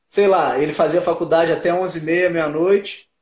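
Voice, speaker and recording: A man with a high pitch and fairly even intonation speaks at a moderate pace against a quiet background, with audible room echo. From Minas Gerais interior, Brazil. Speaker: MMA fighter. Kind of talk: casual interview. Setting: online live stream. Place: home room. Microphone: video call.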